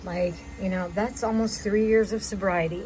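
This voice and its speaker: A woman's voice sits at a medium pitch. Behind her, music is playing. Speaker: vlogger. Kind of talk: personal video message. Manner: rambling.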